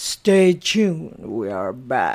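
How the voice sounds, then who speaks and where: The voice is a put-on character. Its pitch is in the middle range. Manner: confident, reassuring.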